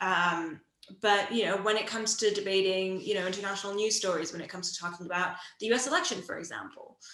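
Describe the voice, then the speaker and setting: The speech comes at a very fast pace with fairly even intonation. Audible room echo surrounds it. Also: woman, medium pitch for a woman. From outside the UK. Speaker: radio producer. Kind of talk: casual interview.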